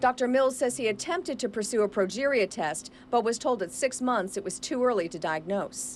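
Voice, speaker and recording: A woman's fairly high voice with vocal fry and very wide pitch swings, fairly quick and with hardly any pauses. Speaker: TV news reporter. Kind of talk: TV news report voiceover.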